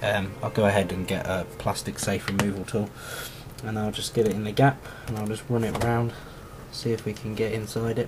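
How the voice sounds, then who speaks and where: Noticeable background noise runs throughout. The delivery is fairly quick. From England, Oxfordshire (Banbury). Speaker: phone repair technician. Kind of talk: tutorial. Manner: casual, hesitant with fillers.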